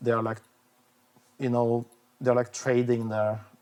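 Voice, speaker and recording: Speaking with a Norwegian accent, a man keeps his medium-pitched voice monotone and flat. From Norway. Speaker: vlogger. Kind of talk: casual monologue. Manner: halting, many fillers and restarts.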